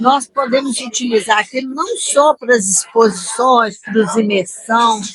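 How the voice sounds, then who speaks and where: Very slow delivery with ordinary pitch variation and hardly any pauses. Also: woman, fairly high pitch for a woman. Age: 60s. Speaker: regional industry federation president. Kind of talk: interview. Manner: halting, with fillers.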